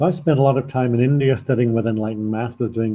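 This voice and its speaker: The voice carries a Liverpool accent. It has a dark, mellow tone and sounds somewhat breathy. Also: man. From northern England, Liverpool. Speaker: spiritual teacher and former mountain guide. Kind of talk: online talk with slides, self-presentation. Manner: halting, with fillers.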